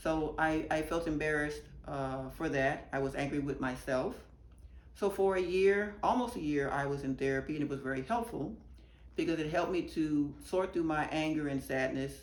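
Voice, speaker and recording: Speech at a moderate pace with ordinary pitch variation and audible room echo. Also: woman, very deep, low pitch for a woman. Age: 60s. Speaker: activist giving testimony. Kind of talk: testimony.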